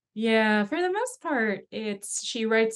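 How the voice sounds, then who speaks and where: Her intonation is lively. The woman speaks at a very slow pace. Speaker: dance caller and musician. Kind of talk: interview conversation.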